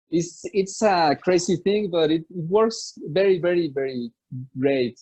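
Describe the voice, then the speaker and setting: A man with a Spanish accent speaks at a high pitch in a dark, mellow tone, with ordinary pitch variation. His fairly slow delivery is recorded dry and close with no echo. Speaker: musician. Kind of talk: interview. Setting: video call. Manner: halting.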